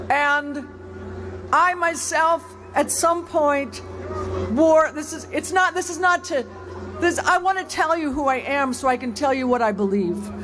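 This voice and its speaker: The speech moves at a fairly slow pace with long, frequent pauses, and noticeable background noise is present. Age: 70s. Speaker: rally speaker. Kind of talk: protest speech. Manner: halting.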